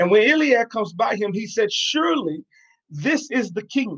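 A man with an American accent speaks at a high pitch. His intonation is lively. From New York. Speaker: podcast host and preacher. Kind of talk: sermon-style podcast talk.

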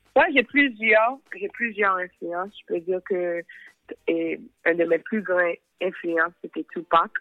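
Speech comes at a very slow pace with ordinary pitch variation, broken by long, frequent pauses. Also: woman, medium pitch for a woman. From Haitian-American. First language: English or Haitian Creole (speaking French). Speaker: singer and rapper. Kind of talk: interview. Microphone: dropped line.

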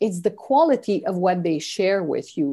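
A woman with a Quebec accent and a dark, mellow tone, at a moderate pace against a quiet background. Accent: Canadian French. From French Canada. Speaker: leadership mentor. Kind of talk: interview.

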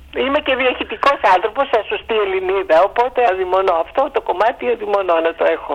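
A woman at medium pitch with lively intonation, a fairly quick pace and hardly any pauses, over noticeable background noise. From Greece. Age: 60s. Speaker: historian, professor. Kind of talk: casual interview. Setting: phone call.

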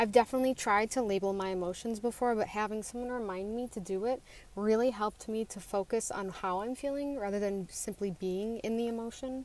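A woman talks at a fairly high pitch and a fairly quick pace, with hardly any pauses. Her intonation is fairly even, and she has a normal speaking voice. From Western New York. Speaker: community member. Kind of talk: testimony.

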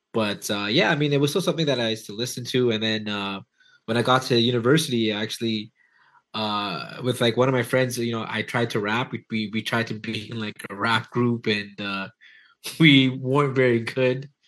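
With a Toronto accent, a man speaks with ordinary pitch variation. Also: medium pitch for a man, moderate pace. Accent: Toronto Canadian. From Toronto area, Canada. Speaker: hip hop DJ and producer. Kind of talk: casual interview chat.

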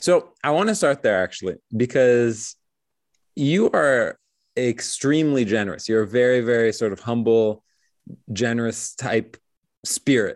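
With long, frequent pauses and a fairly slow pace, a man speaks at medium pitch with ordinary pitch variation and very even loudness, the sound dry and close with no echo over a quiet background. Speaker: podcast host. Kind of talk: interview conversation.

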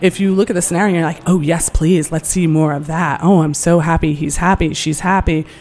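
Speech runs at a fairly quick pace with hardly any pauses. The intonation stays fairly even over noticeable background noise. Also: woman, fairly low pitch for a woman. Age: 40s. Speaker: communications director and aphrodisiac chef. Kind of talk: casual interview chat. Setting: hotel studio.

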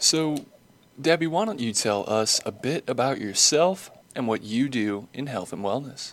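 Lively in intonation, a man speaks fairly slowly in an unremarkable speaking voice at medium pitch. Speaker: podcast interviewer. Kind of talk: podcast interview.

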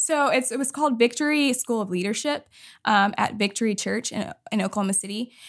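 A woman with an American accent talks at a fairly quick pace in an unremarkable speaking voice, fairly high pitched with ordinary pitch variation, on a very clean recording with a silent background. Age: 30s. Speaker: ministry leadership program worker. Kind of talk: casual interview.

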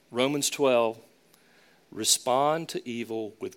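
A man's medium-pitched voice in a Southern US accent, at a very slow pace with ordinary pitch variation. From US South, Charlotte. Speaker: pastor. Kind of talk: sermon.

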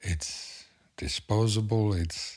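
Somewhat breathy and fairly low in pitch, a man speaks at a very slow pace. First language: not English. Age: 50s. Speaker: tattoo artist. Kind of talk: casual chat.

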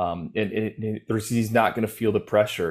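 A man talks at a moderate pace, his pitch fairly low and his intonation fairly even. The recording is very clean, with a silent background. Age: 30s. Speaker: college football recruiting analyst. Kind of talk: casual podcast chat. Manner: halting, repeats words.

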